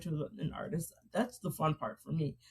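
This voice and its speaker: A woman speaks at a fairly quick pace and a fairly low pitch. Her tone is dark and mellow, and somewhat breathy. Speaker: romance author. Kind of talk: interview chat. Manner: fast; animated.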